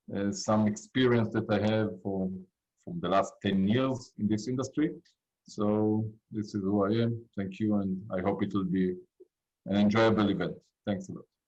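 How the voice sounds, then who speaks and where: A man with an Israeli accent, a fairly low pitch and ordinary pitch variation. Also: moderate pace. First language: Hebrew. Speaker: cybersecurity industry expert. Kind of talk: panel discussion. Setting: video call.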